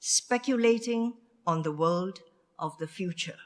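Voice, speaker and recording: A woman speaks at a very slow pace. Her pitch is medium and her intonation lively. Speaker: session chair, diplomat. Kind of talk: conference speaker introductions. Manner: formal.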